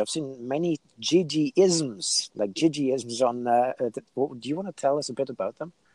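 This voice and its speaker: A man with an unremarkable speaking voice, ordinary pitch variation and a moderate pace, in a dry, close sound with no echo. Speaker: podcast host. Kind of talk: interview. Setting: video call.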